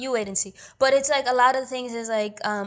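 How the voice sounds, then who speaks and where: With an American accent and a normal speaking voice, the speaker goes at a fairly quick pace with fairly even intonation on a very clean recording against a silent background. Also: woman. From New York City, Washington Heights (Dominican family). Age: young. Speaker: actor and producer. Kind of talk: casual interview.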